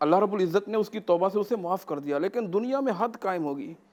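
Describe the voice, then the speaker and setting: A man talks in a high-pitched voice. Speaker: mufti, Islamic scholar. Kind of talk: religious lecture, answering a host's question.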